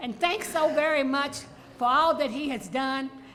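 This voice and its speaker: A woman's high-pitched voice at a moderate pace, with audible room echo and noticeable background noise. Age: 90s. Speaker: artist. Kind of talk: tribute toast.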